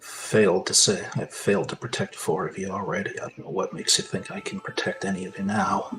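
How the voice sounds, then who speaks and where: A man mumbles in a put-on character voice at a fairly quick pace. His loudness swings widely. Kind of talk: quiet, inward. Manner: mumbling, low and indistinct.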